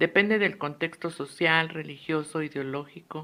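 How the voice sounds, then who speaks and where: The tone is bright and sharp as a woman speaks in a fairly low pitch at a fairly slow pace with fairly even intonation. The recording is very clean, with a silent background. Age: 60s. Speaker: psychologist and student. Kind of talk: lecture. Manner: formal.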